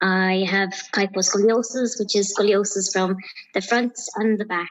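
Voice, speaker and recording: Soft-spoken and in an Irish accent, the speaker goes at a fairly slow pace. The intonation stays fairly even. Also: woman. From Ireland, County Clare. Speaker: empowerment coach. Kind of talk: interview.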